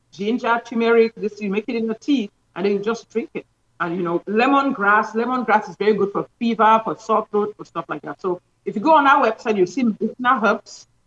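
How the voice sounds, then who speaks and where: In a normal speaking voice, a woman talks at a fairly quick pace with a fairly high pitch and ordinary pitch variation, the sound dry and close with no echo. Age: 60s. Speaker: doctor promoting health products. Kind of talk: interview promoting products.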